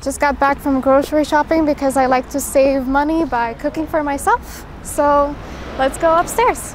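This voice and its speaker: At a moderate pace and with fairly even intonation, a high-pitched woman speaks against noticeable background noise. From Romania, Bucharest. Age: 20s. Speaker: acting student. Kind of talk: casual vlog-style talk.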